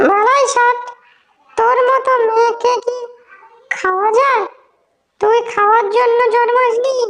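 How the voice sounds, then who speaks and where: The voice is a cartoonish character voice with extremely high pitch. It moves at a fairly slow pace. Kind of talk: horror cartoon villain. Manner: gruff, menacing.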